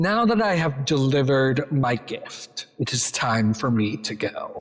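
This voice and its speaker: In a put-on character voice with a menacing tone, the speaker talks at a fairly slow pace with a low-to-middle pitch. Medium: actual play. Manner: haughty, menacing.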